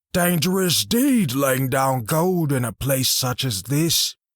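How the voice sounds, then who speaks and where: A man does a gravelly put-on character voice with a fairly high pitch, lively intonation and very even loudness at a fairly slow pace, in a very clean recording with a silent background. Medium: read story. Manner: terse, guarded.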